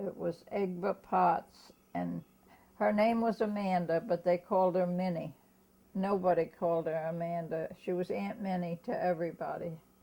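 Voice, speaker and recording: A woman with an American accent has a fairly low pitch and a dark, mellow tone. She keeps a moderate pace and fairly even intonation. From Germantown, US. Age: 90s. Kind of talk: oral history interview. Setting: at home. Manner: halting.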